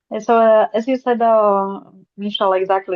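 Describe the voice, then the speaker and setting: Monotone, flat intonation runs through speech delivered at a moderate pace. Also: woman. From Slovakia. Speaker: NGO team leader. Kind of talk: webinar presentation. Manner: halting. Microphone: unstable connection.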